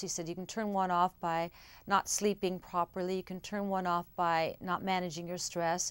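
Monotone and flat, a woman's voice moves at a moderate pace. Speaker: interviewee, actress. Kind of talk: interview answer. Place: studio.

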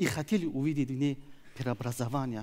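A man is speaking. His pace is moderate. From Tajikistan. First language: Tajik (speaking Russian). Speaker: opposition activist; speaker. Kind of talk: prepared speech. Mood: earnest, serious. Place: stage. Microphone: headset.

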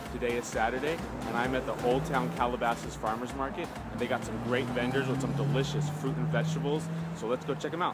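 Music plays in the background. The delivery is very fast, with ordinary pitch variation. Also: man. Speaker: vlogger, health blogger. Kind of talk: casual vlog chat. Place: market. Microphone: phone near.

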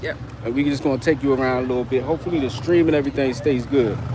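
A man talks at a very fast pace with fairly even intonation. The sound is dry with no echo, and there is noticeable background noise. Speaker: travel vlogger. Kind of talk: casual livestream chat. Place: street. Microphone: phone near.

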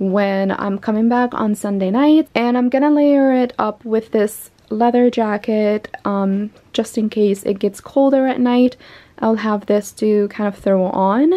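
Her pace is fairly slow. The woman's pitch shows ordinary variation. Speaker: fashion vlogger. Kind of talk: casual vlog chat. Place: home room. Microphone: phone near.

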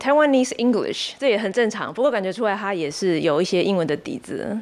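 Lively in intonation, a woman talks at a fairly quick pace. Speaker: English teacher. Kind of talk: interview answer. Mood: friendly, lightly smiling. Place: office. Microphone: handheld.

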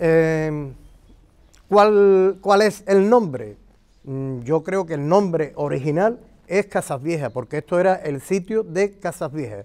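A man talks at a very slow pace with a high pitch and lively intonation. The background is quiet. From Andalusia. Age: 60s. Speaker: local historian and retired teacher; retired teacher. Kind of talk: interview explanation of local history. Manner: halting, with many fillers. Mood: thoughtful, calm. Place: garden. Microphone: lapel.

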